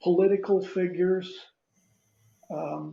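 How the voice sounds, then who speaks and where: At a very slow pace, the speech carries a dark, mellow tone. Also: man. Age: 80s+. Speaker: retired army general and toy soldier collector. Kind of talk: casual anecdote in an interview. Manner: halting, with many fillers and restarts.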